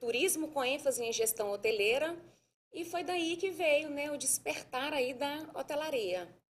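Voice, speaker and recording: A woman with a Minas Gerais accent speaks at a fairly slow pace, her high-pitched voice full of lively intonation. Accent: Brazilian Portuguese, mineiro. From Minas Gerais, Brazil (Sabará, near Belo Horizonte). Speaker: hotel manager. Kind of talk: podcast interview.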